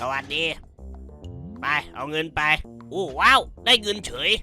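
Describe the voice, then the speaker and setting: A man does a put-on character voice, pitched fairly high. Clear music plays in the background. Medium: dub. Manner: gruff, crude.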